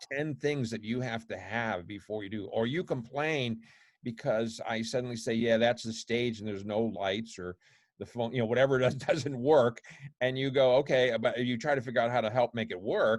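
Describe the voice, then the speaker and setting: A man with an American accent speaks at a moderate pace and medium pitch, with ordinary pitch variation. His is an unremarkable speaking voice, set against a quiet background. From Buffalo, New York. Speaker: poet. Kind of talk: podcast interview answer.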